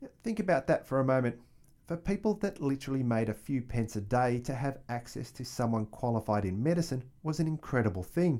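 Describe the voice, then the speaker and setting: A man's medium-pitched voice with a dark, mellow tone, an Australian accent, lively intonation and a fairly quick pace. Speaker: history podcast host. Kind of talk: scripted narration.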